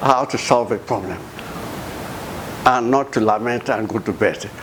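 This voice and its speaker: A man talks at medium pitch with audible room echo. Noticeable background noise is present too. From Nigeria, Bayelsa State. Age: 80s+. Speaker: retired professor and former government minister. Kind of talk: interview. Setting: home office. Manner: halting, repeats words.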